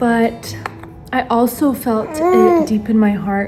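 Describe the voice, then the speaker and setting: Noticeable background noise surrounds a woman speaking with an American accent. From United States (immigrant family from Ukraine, Bulgarian parents). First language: Bulgarian and Russian. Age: 20s. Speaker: YouTuber and stay-at-home mom. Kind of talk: casual chat while doing makeup. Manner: casual, filler-heavy.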